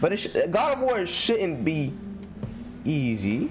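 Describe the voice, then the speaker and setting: Noticeable background noise runs under the recording. A man speaks with very wide pitch swings. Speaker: game streamer. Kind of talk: casual gameplay commentary. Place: home room. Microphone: headset.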